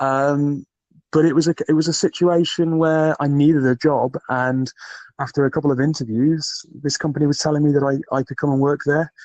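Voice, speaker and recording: Talking at a fairly quick pace in a Geordie accent, a man holds a fairly high pitch in a monotone, flat delivery. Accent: soft Geordie. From northern England, Newcastle. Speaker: recruiter and podcaster. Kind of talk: interview conversation. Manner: hesitant, many fillers.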